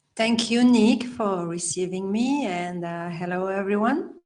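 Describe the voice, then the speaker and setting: A woman with a French accent talks fairly slowly at a medium pitch, with ordinary pitch variation. Her loudness swings widely, and room echo is audible. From Belgium. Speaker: healer and life coach. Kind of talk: interview.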